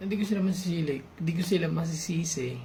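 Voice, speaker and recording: A soft-spoken man talks at a fairly quick pace with a high pitch. The room echo is audible. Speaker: YouTuber sharing personal reflections. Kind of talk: personal confessional vlog. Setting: at home at night, late night. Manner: soft-spoken, quiet; halting, hesitant.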